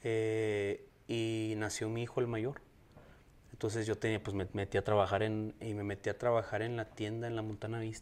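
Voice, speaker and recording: Here a man speaks at a fairly low pitch and a moderate pace. His intonation is monotone and flat. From El Paso, Texas; Texas. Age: 30s. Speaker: singer-songwriter; guest. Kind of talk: interview. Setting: live stream. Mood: calm, personal storytelling. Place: studio. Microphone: lapel.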